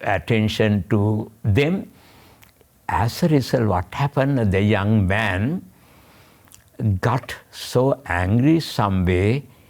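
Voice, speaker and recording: Very slow male speech with long, frequent pauses, fairly low pitch, very even loudness and ordinary pitch variation. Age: 80s+. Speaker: Buddhist monk and author. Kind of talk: interview. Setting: studio. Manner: halting.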